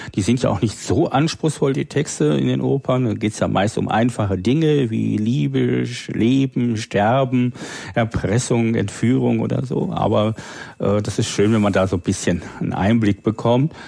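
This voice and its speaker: A man with a fairly low voice speaks at a moderate pace, his pitch swinging very widely. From northern Germany (Low German area). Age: 40s. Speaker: freelance programmer and language enthusiast. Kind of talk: casual chat.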